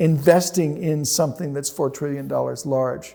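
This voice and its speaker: Fairly even in intonation, a man with an American accent speaks in a dark, mellow tone. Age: 70s. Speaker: healthcare analyst and investor. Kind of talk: interview.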